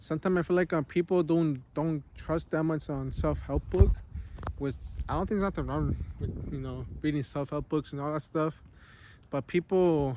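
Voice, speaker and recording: At a moderate pace, a man mumbles his words. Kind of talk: casual talk to camera. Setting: outdoors. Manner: mumbling, hesitant.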